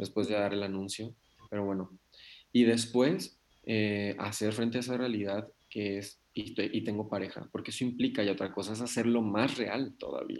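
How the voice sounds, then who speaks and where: A man's fairly low voice at a moderate pace with fairly even intonation. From Mexico, Nayarit. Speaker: psychologist and psychotherapist. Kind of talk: interview. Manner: halting, many fillers and repetitions.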